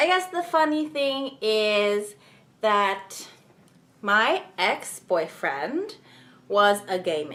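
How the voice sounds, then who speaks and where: Very slowly, a woman speaks with long, frequent pauses in a fairly high pitch. Her tone is bright and sharp, and her pitch swings very widely. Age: young. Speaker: YouTuber. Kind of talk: casual vlog talk.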